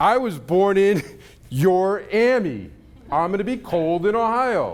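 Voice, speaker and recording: Audible room echo surrounds a man whose high pitch carries lively intonation. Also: fairly slow pace. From New York. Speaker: conference speaker. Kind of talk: keynote talk. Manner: animated.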